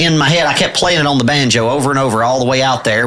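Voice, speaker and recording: A man with a strong East Tennessee accent speaks over noticeable background noise. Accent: thick East Tennessee. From East Tennessee, La Follette. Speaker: bluegrass musician and radio DJ. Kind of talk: casual interview chat. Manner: halting, many fillers.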